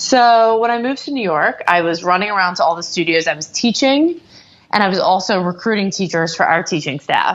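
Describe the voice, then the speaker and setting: A woman's normal speaking voice at medium pitch, fairly quick, with lively intonation. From US South, Atlanta. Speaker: entrepreneur, company founder. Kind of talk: interview.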